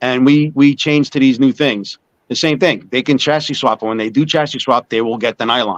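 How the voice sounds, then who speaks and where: A man with a New York accent speaks at a fairly quick pace in a medium pitch, with ordinary pitch variation and a dry, close sound with no echo. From US Northeast (Long Island, New York). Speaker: small business owner selling smoking pipes. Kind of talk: casual interview.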